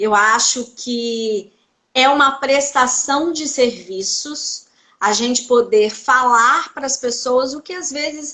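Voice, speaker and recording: A woman with a Minas Gerais accent speaks in a raised, projected voice, her tone bright and sharp, with ordinary pitch variation. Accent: Minas Gerais (mineiro). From Brazil, Belo Horizonte (Minas Gerais). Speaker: psychoanalyst. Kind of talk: interview on live stream.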